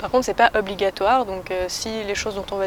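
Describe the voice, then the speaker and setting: There is noticeable background noise behind the speech. A woman talks very fast at a medium pitch. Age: 20s. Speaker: school co-founder, singer and guitarist. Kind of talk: interview.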